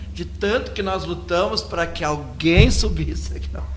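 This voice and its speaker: A man speaks at a fairly slow pace with very wide pitch swings, with audible room echo and noticeable background noise around him. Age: 60s. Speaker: radio host and religious leader. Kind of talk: casual radio talk. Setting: live web radio studio.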